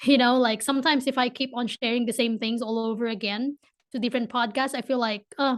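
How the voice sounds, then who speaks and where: A woman speaks very fast with a Filipino accent and a high pitch. Her intonation stays monotone and flat over a quiet background. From Philippines. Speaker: entrepreneur. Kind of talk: podcast interview. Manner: hesitant, many repeats.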